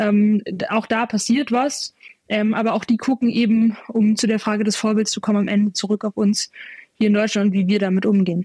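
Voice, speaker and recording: A woman with a fairly high, somewhat breathy voice speaks at a moderate pace in a monotone, flat intonation, recorded very cleanly with a silent background and a dry, close sound with no echo. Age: 20s. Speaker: climate activist, student. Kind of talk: interview. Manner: frequent fillers and repetitions.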